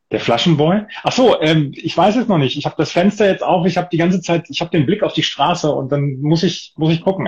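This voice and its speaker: A fairly high-pitched man with lively intonation and a fairly quick pace. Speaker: football tipping podcast host. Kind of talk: casual chat. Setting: Instagram live video stream.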